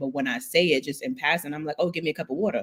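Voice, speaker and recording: Her speech runs at a very fast pace. This woman's intonation is lively. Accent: Brooklyn. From New York, Brooklyn. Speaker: podcast host. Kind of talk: interview conversation.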